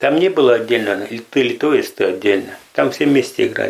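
A man is talking. His voice has ordinary pitch variation. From Russia, Perm region village. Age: 60s. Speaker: pensioner, defendant. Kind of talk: testimony.

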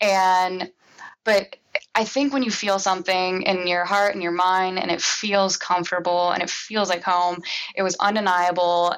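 In a Midwestern American accent, a woman speaks at a medium pitch and moderate pace with monotone, flat intonation. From Cincinnati, Ohio, US. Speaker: commercial real estate coordinator. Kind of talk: interview. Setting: podcast interview.

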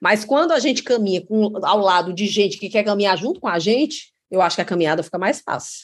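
A woman with a plain, everyday voice talks at a fairly quick pace, medium in pitch with lively intonation, over a quiet background. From Ceará, Brazil (Crato). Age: 40s. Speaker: state finance secretary. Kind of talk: interview.

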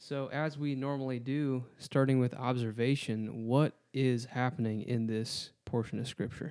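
A man with an American accent speaks at a medium pitch with hardly any pauses. His intonation is fairly even, and the recording is very clean with a silent background. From Wisconsin. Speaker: guest interviewer, Bible college staff. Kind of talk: casual Bible study discussion.

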